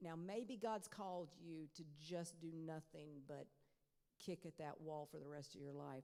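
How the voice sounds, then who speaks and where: Her tone is dark and mellow, and this woman's pitch is very deep and low. The pitch varies in an ordinary way. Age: 60s. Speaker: professor, Pentecostal scholar. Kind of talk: lecture Q&A. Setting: chapel. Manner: conversational, with fillers.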